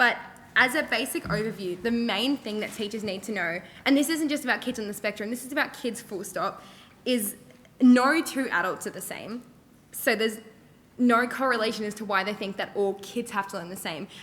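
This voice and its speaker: This woman has a fairly high-pitched voice and speaks with an Australian accent. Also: ordinary pitch variation, fairly quick pace. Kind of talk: panel discussion. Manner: loud; many fillers.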